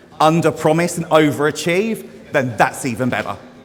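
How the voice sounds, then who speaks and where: Through noticeable background noise, a man speaks with ordinary pitch variation. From Essex, England. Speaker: hair stylist. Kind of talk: live demonstration talk to audience. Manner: loud; casual, sweary.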